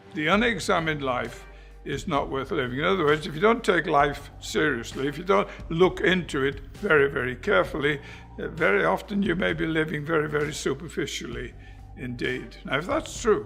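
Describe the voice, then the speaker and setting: Amid audible room echo and noticeable background noise, a man's fairly high voice moves at a fairly quick pace with lively intonation. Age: 80s+. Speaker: preacher. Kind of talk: sermon.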